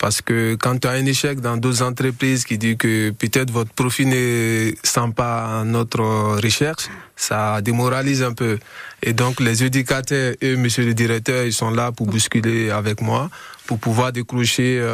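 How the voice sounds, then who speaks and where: A man speaks at a fairly slow pace in a medium pitch, with monotone, flat intonation. His loudness stays very even, and there is noticeable background noise. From Guinea. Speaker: young jobseeker. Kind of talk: radio interview. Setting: radio studio. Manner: halting.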